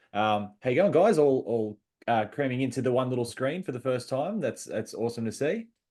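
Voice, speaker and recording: In an Australian accent, the speaker talks at a fairly quick pace with lively intonation and a dark, mellow tone. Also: man, medium pitch for a man. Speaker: podcast host. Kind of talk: casual video interview.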